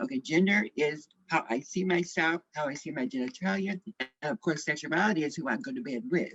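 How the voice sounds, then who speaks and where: Fairly quick and with hardly any pauses, the speaker talks in an American accent with very wide pitch swings, the sound dry and close with no echo. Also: woman, fairly low pitch for a woman. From US Midwest, St. Louis, Missouri. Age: 60s. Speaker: activist. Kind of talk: panel discussion testimony.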